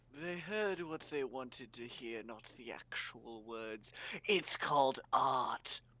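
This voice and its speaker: Put-on character voice from a man, medium in pitch and at a fairly slow pace. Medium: actual play.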